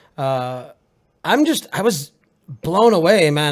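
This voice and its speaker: A man is talking here. He speaks with a Maine accent. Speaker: podcast co-host. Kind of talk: casual chat. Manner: hesitant, many fillers.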